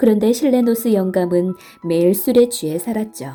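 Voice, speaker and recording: A gentle, calm tone with ordinary pitch variation over music in the background. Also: woman. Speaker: storyteller, audiobook reader. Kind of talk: bedtime story narration. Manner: soft, gentle, calm.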